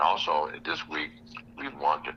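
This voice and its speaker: Noticeable background noise sits under this clip. A man talks at a fairly quick pace. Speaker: radio host. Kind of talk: news reading. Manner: fast; halting.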